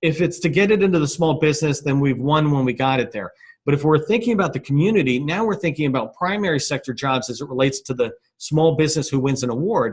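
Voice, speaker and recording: A man's very fast, somewhat breathy speech, fairly high-pitched with lively intonation. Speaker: business chamber founder presenting a webinar. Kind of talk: webinar presentation. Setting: conference call webinar.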